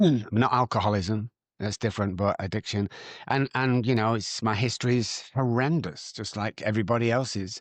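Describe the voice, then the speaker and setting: With a Manchester accent, a man speaks at a medium pitch and moderate pace, with ordinary pitch variation. The sound is dry and close with no echo, and the background is quiet. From Manchester, northern England. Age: 60s. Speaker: addiction recovery doctor. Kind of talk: podcast interview.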